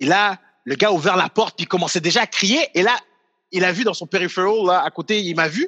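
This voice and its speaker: Using a raised, projected voice, a man speaks at a high pitch and fairly quick pace with a bright, sharp tone. His pitch variation is ordinary, and the sound is dry and close with no echo. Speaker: comedian and video creator. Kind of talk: casual chat.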